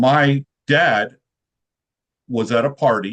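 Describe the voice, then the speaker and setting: A man with a Midwestern American accent is heard in a dry, close sound with no echo. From central Illinois. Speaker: sales professional. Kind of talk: podcast interview.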